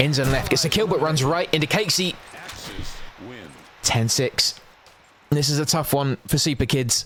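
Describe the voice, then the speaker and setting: Over noticeable background noise, a man speaks with very even loudness, ordinary pitch variation, and long, frequent pauses. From London, England. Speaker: esports shoutcaster. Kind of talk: live commentary. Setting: livestream. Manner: fast.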